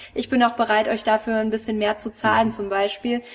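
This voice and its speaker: Over noticeable background noise, a woman's fairly high voice keeps a monotone, flat intonation. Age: 30s. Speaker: real estate agent. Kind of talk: interview.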